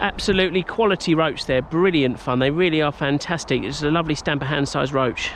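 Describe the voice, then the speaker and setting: With an English accent, a man speaks at a fairly quick pace with ordinary pitch variation over noticeable background noise. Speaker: angler. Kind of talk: casual talk to camera. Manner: enthusiastic.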